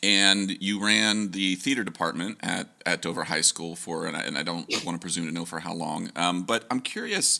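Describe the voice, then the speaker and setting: Very deep in pitch, a man speaks at a moderate pace with ordinary pitch variation and hardly any pauses. Noticeable background noise runs underneath. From Ohio, US Midwest. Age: 40s. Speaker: podcast host and professional musician. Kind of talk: casual interview chat.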